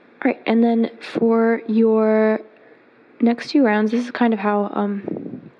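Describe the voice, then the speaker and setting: A woman's fairly high-pitched voice with ordinary pitch variation, over noticeable background noise. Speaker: crochet teacher. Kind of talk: tutorial.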